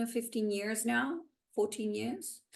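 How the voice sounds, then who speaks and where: Pitched fairly high, a woman speaks at a very slow pace. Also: quiet background. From Italy, Milan. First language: Italian. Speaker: spiritual channel and healer. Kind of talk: interview conversation.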